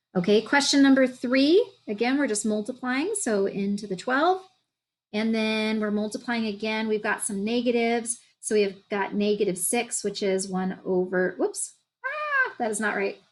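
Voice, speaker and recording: A woman's somewhat breathy voice sits fairly high, with ordinary pitch variation. She speaks at a moderate pace over a quiet background. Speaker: math teacher. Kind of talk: recorded lesson video. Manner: halting.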